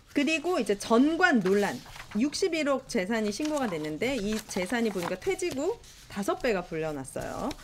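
Fairly slow female voice, fairly high in pitch with very wide pitch swings, over noticeable background noise. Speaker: union leader and show host. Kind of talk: casual talk show discussion. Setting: studio. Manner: animated.

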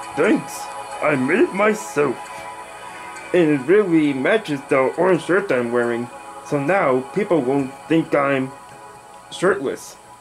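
A man does a cartoonish character voice at a fairly high pitch. He talks at a fairly slow pace with clear music in the background. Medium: puppet show. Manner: chirpy, teasing, slightly smug.

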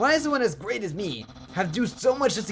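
A man's put-on character voice, high-pitched, nasal and pompous, at a very fast pace over clear background noise. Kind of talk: reading game dialogue in character voice. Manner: nerdy, pompous.

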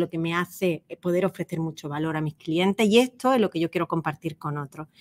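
In a very clean recording with a silent background and a dry, close sound with no echo, a woman speaks at a fairly low pitch with fairly even intonation. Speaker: personal branding consultant. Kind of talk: interview.

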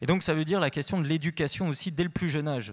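A man talks with ordinary pitch variation over a quiet background. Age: 40s. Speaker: researcher; panelist. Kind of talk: panel discussion. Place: hall. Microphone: handheld.

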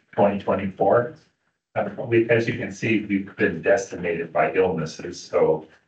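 A man talks at a fairly low pitch, somewhat breathy. The room echo is audible. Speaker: council meeting chair. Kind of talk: meeting proceedings. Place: meeting room. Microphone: camera far.

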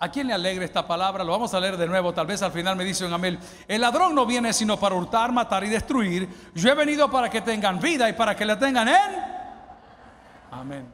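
Quick and animated, a man with a high pitch talks at a fairly quick pace with lively intonation. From El Salvador. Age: 50s. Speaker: pastor. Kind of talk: sermon. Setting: church. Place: church. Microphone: handheld.

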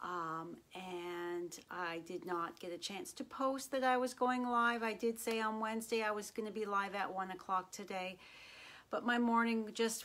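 A woman speaks fairly slowly with ordinary pitch variation. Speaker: craft demonstrator. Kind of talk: casual live stream chat. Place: home room.

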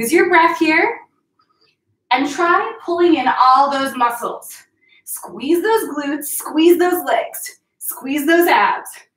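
With audible room echo, a woman speaks very slowly at an extremely high pitch. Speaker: fitness instructor. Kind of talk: workout instruction. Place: home room. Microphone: camera far.

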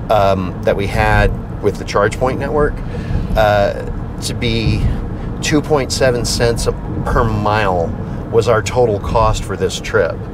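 A man's dry voice with no echo over noticeable background noise. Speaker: vlogger. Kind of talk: casual vlog chat. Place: car. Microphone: lapel.

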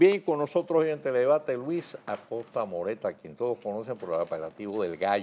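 At a fairly quick pace and with hardly any pauses, a man talks with very wide pitch swings and big swings in loudness. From Dominican Republic. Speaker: TV news debate host. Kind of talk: scripted news commentary; commentary and host introduction. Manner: formal. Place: studio. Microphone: lapel.

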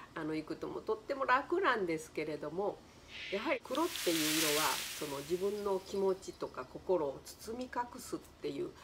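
Over noticeable background noise, a woman speaks at a moderate pace with very wide pitch swings. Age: 70s. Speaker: color therapist and flower designer. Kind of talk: casual talk to camera. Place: home room. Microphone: phone near.

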